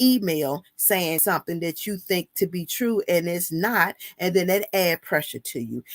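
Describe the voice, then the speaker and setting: Her medium-pitched voice comes through a very clean recording with a silent background and a dry, close sound with no echo. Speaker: women's empowerment vlogger. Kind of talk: motivational talk. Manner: loud when passionate.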